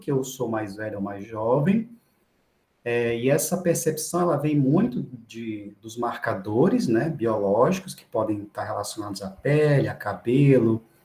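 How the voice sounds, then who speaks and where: Speaking in a Brazilian accent, a man takes a fairly slow pace and lets his pitch swing very widely. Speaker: medical professor. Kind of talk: lecture. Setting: online class. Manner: halting.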